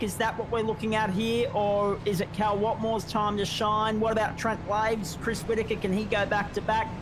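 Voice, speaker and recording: A man with an Australian accent talks at a high pitch and moderate pace, with noticeable background noise and audible room echo. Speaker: sim racing guest commentator. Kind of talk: live race commentary.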